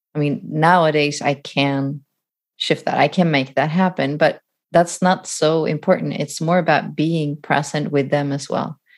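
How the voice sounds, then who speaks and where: A woman with a very deep, low voice speaks at a fairly slow pace with fairly even intonation. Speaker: podcast host as guest. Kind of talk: casual conversation.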